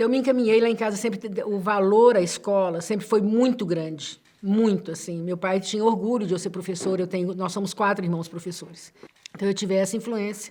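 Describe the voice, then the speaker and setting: A woman talks at a fairly quick pace with medium pitch and fairly even intonation over noticeable background noise. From Minas Gerais, Brazil (Betim). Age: 60s. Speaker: literature professor. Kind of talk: interview. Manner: halting.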